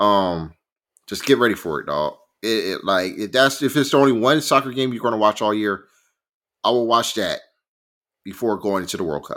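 Speaking with an American accent at medium pitch and a moderate pace, a man sounds animated, with lively intonation and long, frequent pauses, in a very clean recording with a silent background. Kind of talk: casual sports chat. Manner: animated, excitable.

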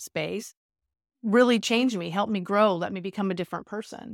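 A woman with an American accent and a normal speaking voice talks at a fairly quick pace in a medium pitch with ordinary pitch variation, recorded dry and close with no echo and a very clean, silent background. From California. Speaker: business and sports psychologist. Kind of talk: casual interview.

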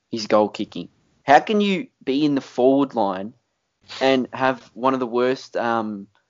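A man with an Australian accent talks at a moderate pace and a medium pitch. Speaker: podcast host. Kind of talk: casual chat.

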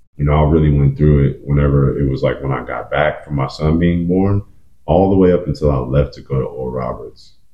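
A man with a very deep, low pitch and an American accent, fairly quick, ordinary in pitch variation, over noticeable background noise. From Oklahoma (Edmond). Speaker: basketball trainer, former college player. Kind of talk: casual chat.

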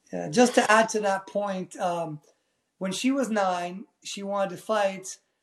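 A man speaks at a moderate pace in a high pitch with fairly even intonation. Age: 40s. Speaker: Muay Thai fighter and landscaping business owner. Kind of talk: casual interview.

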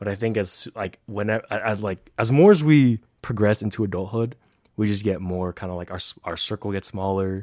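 On a very clean recording with a silent background and a dry, close sound with no echo, a man with an American accent speaks at a fairly quick pace in a fairly low, dark, mellow tone with ordinary pitch variation. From US West Coast, San Francisco Bay Area. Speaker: podcast co-host, nursing student. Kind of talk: casual chat.

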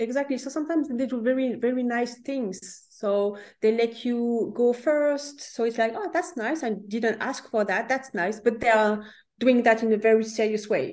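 A woman with a French accent speaks at a moderate pace. Her pitch is high, with ordinary variation. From France. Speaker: career coach. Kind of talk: interview. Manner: halting.

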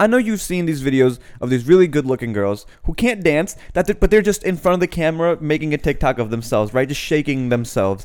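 A man's fairly high voice at a very fast pace, with very wide pitch swings and hardly any pauses. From US Mid-Atlantic, Annapolis, Maryland (moved from Pakistan at 6). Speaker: podcast co-host. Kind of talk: casual chat.

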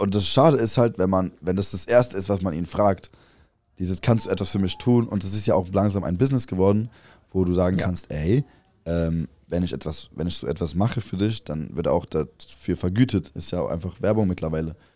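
A man talks at a fairly quick pace in a very deep, low pitch, with a dark, mellow tone and ordinary pitch variation. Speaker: podcast co-host and content creator. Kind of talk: casual late-night chat. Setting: tent at a music festival, at night.

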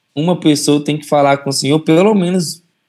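A man's fairly high pitch with ordinary variation, a plain, everyday voice. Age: 20s. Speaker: church member. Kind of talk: testimony.

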